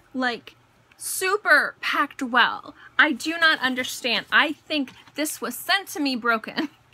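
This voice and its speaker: A raised, projected voice with lively intonation at a fairly slow pace, over noticeable background noise. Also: woman, high pitch for a woman. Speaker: beauty vlogger. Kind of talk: casual haul video monologue.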